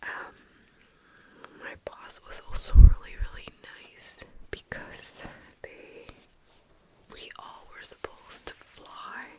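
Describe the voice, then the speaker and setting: Whispering from a woman at a very slow pace, long and frequent pauses, big loudness swings, and noticeable background noise. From Vancouver, Canada. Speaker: ASMR content creator. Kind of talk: ASMR whisper ramble to camera. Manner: whispered, soft-spoken.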